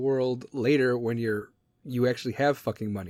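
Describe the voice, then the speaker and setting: A man at a moderate pace, ordinary pitch variation, a dry, close sound with no echo, and a very clean recording over a silent background. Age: 30s. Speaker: podcast host. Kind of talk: casual monologue. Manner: animated.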